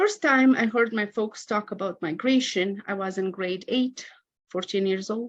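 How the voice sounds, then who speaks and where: The speaker has a Romanian accent and lively intonation. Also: woman. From Moldova. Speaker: academic researcher. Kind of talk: conference talk. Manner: reading from a prepared script.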